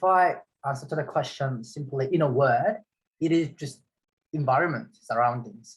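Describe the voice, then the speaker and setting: With a Korean accent and a fairly high pitch, a man talks at a moderate pace in a somewhat breathy voice with ordinary pitch variation. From South Korea. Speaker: metal fabricator. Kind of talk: casual chat.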